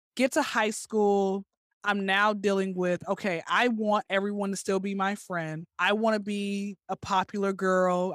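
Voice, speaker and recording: A woman's plain, everyday voice at a medium pitch and moderate pace, with a dry, close sound with no echo on a very clean recording with a silent background. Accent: American. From US South, Atlanta. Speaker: comedian and recent graduate. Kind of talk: interview, personal testimony.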